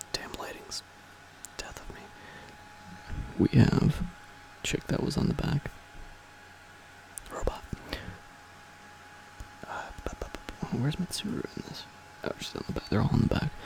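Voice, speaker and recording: Someone whispers at a moderate pace, with long, frequent pauses. Noticeable background noise runs underneath. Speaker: ASMR channel host. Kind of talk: casual talk to camera, game manual reading. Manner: whispered, soft-spoken.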